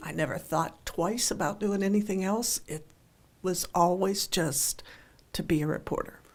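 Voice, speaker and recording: A woman speaks in an unremarkable speaking voice with an American accent. Her pitch is medium and her pace moderate. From western Pennsylvania, near Pittsburgh. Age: 60s. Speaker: newspaper columnist. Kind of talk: radio interview.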